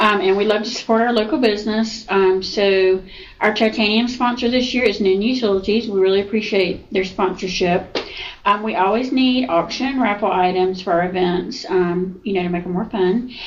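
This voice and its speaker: Noticeable background noise sits behind a woman's voice. She speaks at a moderate pace with medium pitch and ordinary pitch variation. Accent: Southern US. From Georgia, US South (Newnan). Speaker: insurance agency owner. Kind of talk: casual interview. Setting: office.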